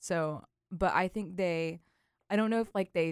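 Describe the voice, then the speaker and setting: In a very clean recording with a silent background and a dry, close sound with no echo, a woman uses an ordinary speaking voice at a moderate pace with fairly even intonation. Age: 20s. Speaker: English student. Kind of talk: casual chat.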